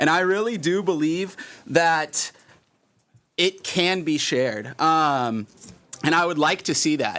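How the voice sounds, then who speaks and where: A man's fairly high voice at a very slow pace, with long, frequent pauses. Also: ordinary pitch variation. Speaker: park board director. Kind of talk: public meeting deliberation. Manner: loud; halting, many fillers.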